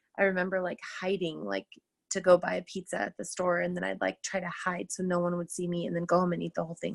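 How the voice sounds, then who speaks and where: A woman speaks at a fairly quick pace in a very clean recording with a silent background and a dry, close sound with no echo. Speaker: teacher and fitness coach. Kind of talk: personal testimony on a team call. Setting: group call. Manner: loud; casual, filler-heavy.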